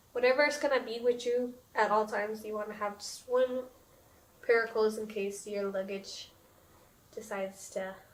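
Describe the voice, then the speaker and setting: Through noticeable background noise, a woman speaks in a fairly high pitch with long, frequent pauses. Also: big swings in loudness. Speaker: podcast host. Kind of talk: casual chat.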